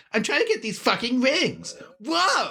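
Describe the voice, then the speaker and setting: The pitch is high. The voice is a put-on character voice. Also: moderate pace. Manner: extreme, radical.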